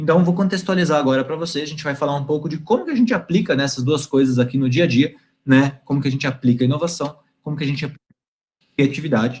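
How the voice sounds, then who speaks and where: With music in the background, a man speaks very fast at a fairly high pitch with ordinary pitch variation. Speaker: guest lecturer, IT company representative. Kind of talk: online lecture to university class. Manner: fast when excited; animated.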